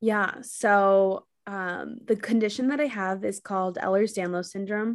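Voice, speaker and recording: In a very clean recording with a silent background, a woman speaks with an American accent in an unremarkable speaking voice. Her medium pitch carries fairly even intonation at a fairly slow pace. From New York City. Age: 20s. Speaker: content creator and mental health advocate. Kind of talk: casual interview.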